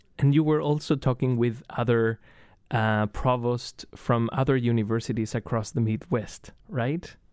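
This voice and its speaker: In a Spanish accent, a man talks at a fairly slow pace with very even loudness and medium pitch. The recording is very clean, with a silent background. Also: ordinary pitch variation. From Chile. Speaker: radio host, graduate student. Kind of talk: interview.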